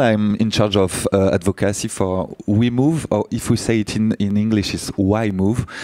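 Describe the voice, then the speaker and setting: A man with a French accent speaks at fairly low pitch and a moderate pace, with hardly any pauses. His intonation is fairly even, his loudness very even, and there is noticeable background noise. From France. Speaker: advocacy director, panelist. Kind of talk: panel discussion.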